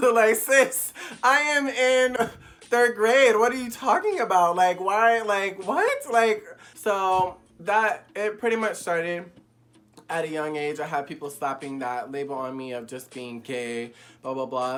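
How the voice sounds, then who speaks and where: Speaking at a fairly slow pace, a man with a high pitch uses very wide pitch swings, big swings in loudness and an animated tone. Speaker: YouTuber. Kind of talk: casual candid vlog. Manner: flamboyant.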